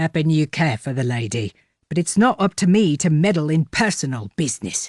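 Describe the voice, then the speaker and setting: A put-on character voice with a growl, spoken at a fairly quick pace and a middle pitch. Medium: read story. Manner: plain-spoken, blunt.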